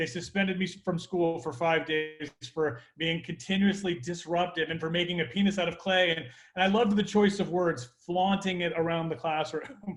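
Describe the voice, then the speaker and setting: There is noticeable background noise behind this man. He speaks in a high voice at a moderate pace with ordinary pitch variation. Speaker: entrepreneur, comedy club owner. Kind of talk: casual chat. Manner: animated.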